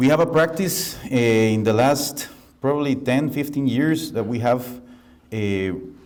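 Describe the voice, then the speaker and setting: With a Costa Rican accent, a man speaks at a medium pitch and a fairly slow pace with ordinary pitch variation, and audible room echo surrounds him. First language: Spanish. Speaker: architect. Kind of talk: lecture.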